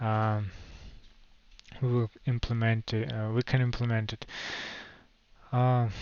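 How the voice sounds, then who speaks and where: At a fairly slow pace, a man with a Russian accent talks at a medium pitch. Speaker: crypto project founder. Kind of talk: livestream Q&A. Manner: halting, many fillers.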